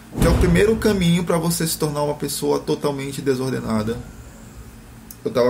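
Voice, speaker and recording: A man speaks at a fairly quick pace in an ordinary speaking voice. His pitch is medium, with ordinary variation. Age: 30s. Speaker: blogger discussing philosophy. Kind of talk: casual chat.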